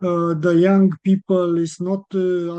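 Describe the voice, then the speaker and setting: A man speaks very slowly with a non-native accent. His tone is dark and mellow, and his pitch is high. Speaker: researcher presenter. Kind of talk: webinar presentation and Q&A. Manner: halting.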